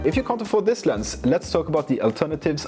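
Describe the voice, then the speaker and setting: Music plays in the background as a man with a Norwegian accent speaks in very wide pitch swings. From Norway. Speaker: photographer and camera gear reviewer. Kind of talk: casual product review. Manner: casual, with fillers.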